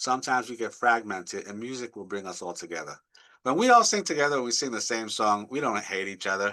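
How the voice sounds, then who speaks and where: A man's bright, sharp voice at a medium pitch, very fast, with ordinary pitch variation and a quiet background. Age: 70s. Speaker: guitarist and music director. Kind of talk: interview conversation. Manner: animated.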